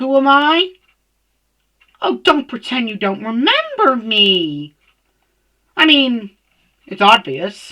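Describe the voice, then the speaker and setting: A female-sounding voice puts on a character with a high pitch. She speaks very slowly, with long, frequent pauses. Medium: read story. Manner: smooth, chilled, cold.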